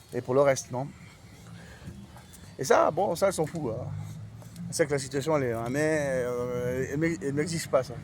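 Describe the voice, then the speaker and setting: A man's fairly high voice at a moderate pace, ordinary pitch variation, and long, frequent pauses. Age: 40s. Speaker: vlogger. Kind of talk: casual chat. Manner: halting.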